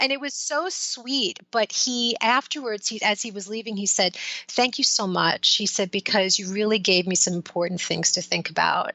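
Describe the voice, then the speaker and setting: A woman talks at a moderate pace with hardly any pauses and a fairly high pitch. Her pitch variation is ordinary, and noticeable background noise is present. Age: 50s. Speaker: life coach. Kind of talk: interview. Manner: casual, conversational.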